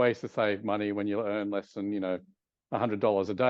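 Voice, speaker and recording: Speaking at a fairly quick pace, a man with an Australian accent uses a fairly low pitch. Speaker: advertising executive. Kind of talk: interview.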